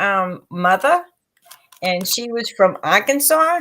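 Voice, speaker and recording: A woman speaks very slowly with an American accent and a bright, sharp tone. Her voice is raised and projected. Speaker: psychic reader and co-host. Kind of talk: casual chat.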